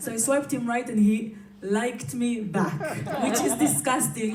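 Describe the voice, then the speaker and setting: Amid noticeable background noise and audible room echo, a woman talks with a fairly high pitch. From Israel. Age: 30s. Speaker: comedian. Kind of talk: stand-up. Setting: stage with audience.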